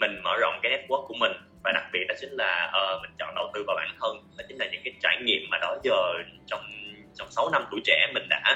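This man's loudness swings widely as he talks fairly quickly. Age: 20s. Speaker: marketing professional, master's student. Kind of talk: interview.

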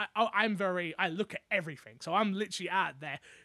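A man with a London accent speaks at a very fast pace in a raised, projected voice, bright and sharp in tone and high in pitch, with ordinary pitch variation. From London, England. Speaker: content creator and podcaster. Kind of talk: casual interview chat.

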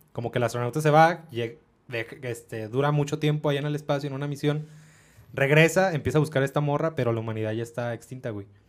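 Talking very fast, a man uses a fairly high pitch. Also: ordinary pitch variation. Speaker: podcast co-host. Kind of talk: casual chat.

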